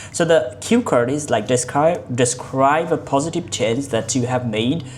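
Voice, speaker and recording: A woman speaks with a Bengali accent, and audible room echo surrounds her voice. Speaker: English learning vlogger. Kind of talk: mock speaking exam. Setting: online video call. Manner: halting.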